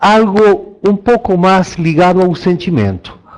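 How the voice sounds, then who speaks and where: A man speaks in a high pitch with a Spanish accent. Noticeable background noise runs underneath. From Argentina. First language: Spanish (speaking Portuguese). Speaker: landscape designer. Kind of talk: online talk. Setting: online talk.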